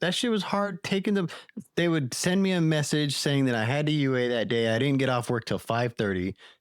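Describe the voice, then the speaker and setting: On a very clean recording with a silent background, a man with an American accent talks at a fairly quick pace and a fairly high pitch. His pitch swings very widely while his loudness stays very even. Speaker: recovery guest. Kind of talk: interview. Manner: animated.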